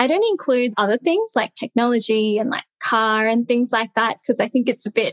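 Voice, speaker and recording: A woman with an Australian accent, high in pitch with ordinary pitch variation, fairly quick with hardly any pauses, very even in loudness, in a dry, close sound with no echo. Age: 20s. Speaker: content creator. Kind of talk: casual interview.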